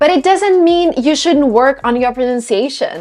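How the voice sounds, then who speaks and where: A woman at a moderate pace with a slight Russian accent. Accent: slight Russian accent, non-native. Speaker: English pronunciation YouTuber. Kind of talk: tutorial.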